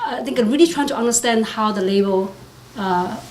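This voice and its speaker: A woman talks at a fairly quick pace with lively intonation. Audible room echo and noticeable background noise surround her voice. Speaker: tech executive. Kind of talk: panel discussion. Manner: fast; halting.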